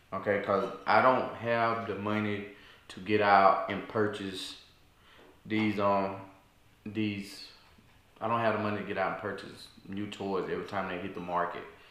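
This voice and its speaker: A man speaks with a fairly low pitch in a monotone, flat way at a moderate pace. Long, frequent pauses break up his speech, and the room echo is audible. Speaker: video creator. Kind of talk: casual vlog chat. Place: home room. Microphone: camera far.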